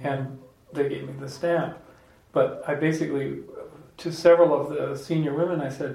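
Fairly high-pitched male speech at a moderate pace, fairly even in intonation, with noticeable background noise. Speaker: podcast host. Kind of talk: casual group discussion with audience Q&A.

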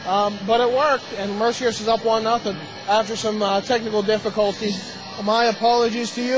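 Crowd noise fills the background as a man speaks. His tone is animated and his pitch high. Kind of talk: live hockey play-by-play commentary. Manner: rapid-fire, animated play-by-play, joking with co-commentator.

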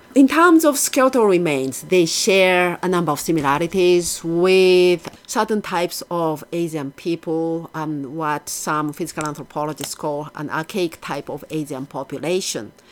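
A woman with a Japanese accent, fairly low in pitch, with hardly any pauses and ordinary pitch variation. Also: moderate pace. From Japan, Yokohama. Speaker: archaeology professor. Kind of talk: interview.

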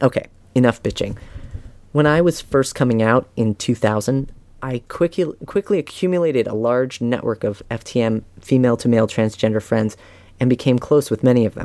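A plain, everyday voice from a man at a medium pitch, with ordinary pitch variation and a fairly quick pace, a dry, close sound with no echo and a very clean recording with a silent background. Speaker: author reading own essay. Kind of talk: reading aloud.

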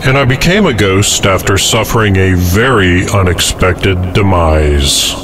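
A man's very deep, low voice with ordinary pitch variation, very even loudness, a fairly slow pace and hardly any pauses, over noticeable background noise. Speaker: pirate radio host. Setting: pirate radio broadcast.

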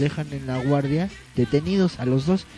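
Speaking with a Mexican accent, a man with a fairly high voice and a dark, mellow tone talks at a moderate pace with ordinary pitch variation. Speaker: podcast co-host. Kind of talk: casual chat; reading news items aloud. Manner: animated.

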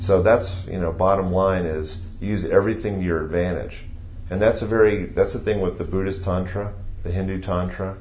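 A man with an American accent talks at a moderate pace in a very deep, low voice with monotone, flat intonation. Audible room echo and noticeable background noise surround him. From Ohio, US Midwest. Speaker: yoga teacher. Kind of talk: interview.

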